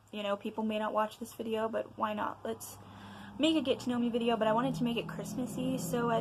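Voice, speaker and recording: A woman speaks quietly at a very fast pace. Noticeable background noise is present. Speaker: vlogger. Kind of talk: casual chat. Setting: home at night. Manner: loud and excited.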